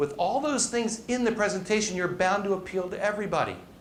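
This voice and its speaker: The man's pitch is high, with ordinary pitch variation, and he talks at a fairly quick pace. Audible room echo surrounds his voice. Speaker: presentation coach and business speaker. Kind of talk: live talk to an audience. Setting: stage with audience. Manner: fast; animated.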